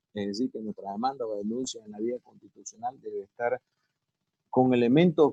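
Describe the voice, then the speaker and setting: Medium-pitched male voice, dark and mellow in tone, with ordinary pitch variation and a dry, close sound free of echo. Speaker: lawyer giving a seminar. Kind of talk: lecture.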